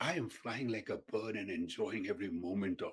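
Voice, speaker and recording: The voice shows vocal fry and moves at a moderate pace. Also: man. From India (Mumbai). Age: 70s. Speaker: physician and marathoner. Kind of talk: interview.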